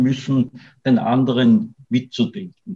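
A man's unremarkable speaking voice, medium in pitch, fairly slow and fairly even in intonation. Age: 60s. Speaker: writer and artist. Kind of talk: interview conversation.

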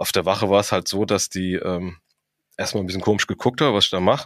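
A man's very deep, low voice comes through in a very clean recording with a silent background. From Frankfurt am Main, Hesse. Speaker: professional firefighter and crime novelist. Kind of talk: casual interview.

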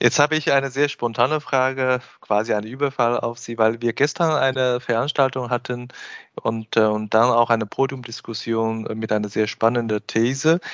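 A man keeps his intonation fairly even while speaking at a medium pitch and moderate speed. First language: Chinese (speaking German). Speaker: podcast host and business consultant. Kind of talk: interview. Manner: hesitant, frequent filler sounds.

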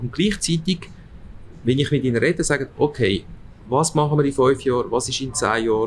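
A man with a medium-pitched, somewhat breathy voice talks at a fairly quick pace, broken by long, frequent pauses. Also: ordinary pitch variation. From Switzerland, Aargau, Italian parents. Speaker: department store executive. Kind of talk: interview. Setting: restaurant.

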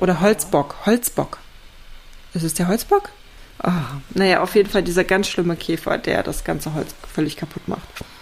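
At a moderate pace, a woman with a medium pitch and ordinary pitch variation talks in an animated tone, taking long, frequent pauses over noticeable background noise. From East Germany. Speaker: podcast co-host, home renovator. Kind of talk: casual chat.

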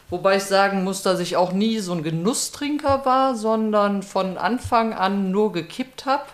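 With hardly any pauses, a woman speaks at a fairly slow pace in an ordinary speaking voice, medium in pitch and lively in intonation. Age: 60s. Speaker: recovering alcoholic and peer guide. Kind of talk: personal testimony.

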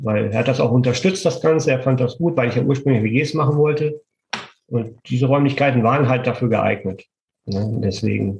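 A man with vocal fry speaks at a moderate pace and a medium pitch, with ordinary pitch variation and very even loudness. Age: 50s. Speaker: construction business owner and property renter. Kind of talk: interview.

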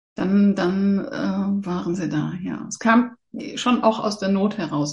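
Her somewhat breathy voice sits at a medium pitch with lively intonation. The woman speaks at a fairly slow pace. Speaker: animal communicator. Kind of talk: casual interview chat.

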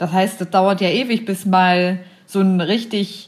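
Her voice has a medium pitch. This woman sounds somewhat breathy. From Braunschweig, Lower Saxony, Germany. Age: 30s. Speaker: intensive care nurse. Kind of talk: casual chat. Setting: video call.

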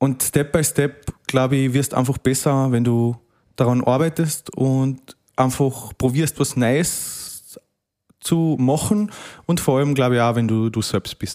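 Speaking at a very slow pace in a Carinthian accent, a man shows ordinary pitch variation. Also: medium pitch for a man. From Austria, Carinthia. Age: 20s. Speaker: rural youth club district leader. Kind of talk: casual interview.

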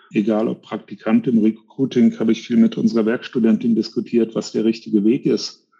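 A man's dark, mellow, medium-pitched voice, fairly quick and monotone with flat intonation. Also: hardly any pauses. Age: 50s. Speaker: tax firm founder and CEO. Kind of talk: interview.

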